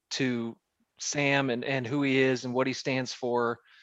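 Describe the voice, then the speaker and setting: A man with an American accent, an ordinary speaking voice, medium pitch and fairly slow pace, in a quiet background. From central Missouri. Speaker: fighter's manager. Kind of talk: casual interview.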